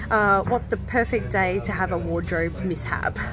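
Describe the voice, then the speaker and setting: A woman speaks at a moderate pace, the sound dry with no echo, and clear music plays in the background. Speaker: travel vlogger. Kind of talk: casual vlog chat. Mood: relaxed, pleased. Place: garden. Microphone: phone near.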